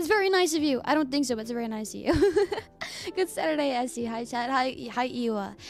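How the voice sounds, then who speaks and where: Music plays in the background as a woman speaks in a high pitch with lively intonation. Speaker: streamer. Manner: casual, chatty.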